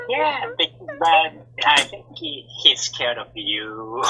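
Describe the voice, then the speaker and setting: A man's put-on character voice, fairly high in pitch and very slow in pace. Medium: actual play. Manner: earnest, warm.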